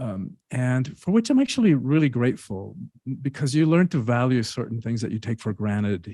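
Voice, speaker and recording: A man speaks in a Spanish accent. His tone is dark and mellow. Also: very clean recording, silent background. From Cuba. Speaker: author and speaker. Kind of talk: interview.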